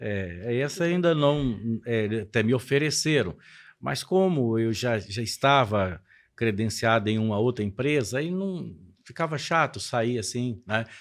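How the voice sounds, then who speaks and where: The recording is very clean, with a silent background. A man with an unremarkable speaking voice and medium pitch talks fairly slowly with lively intonation. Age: 60s. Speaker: pastor. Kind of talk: podcast interview.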